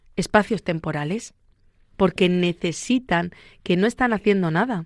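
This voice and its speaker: A woman in a Murcian accent, medium-pitched, at a moderate pace. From Spain, Murcia. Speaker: psychologist. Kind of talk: radio interview. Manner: fluent, conversational.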